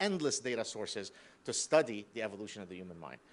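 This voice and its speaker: A man speaks at a very fast pace. He has an Arabic accent. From Lebanon. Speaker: professor. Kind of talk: lecture.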